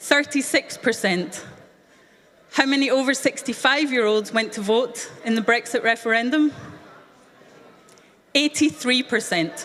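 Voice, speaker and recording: A woman's high-pitched voice with a Scottish accent, at a fairly slow pace with long, frequent pauses, over noticeable background noise. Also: ordinary pitch variation, very even loudness. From Scotland. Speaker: youth event speaker. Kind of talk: speech to young audience.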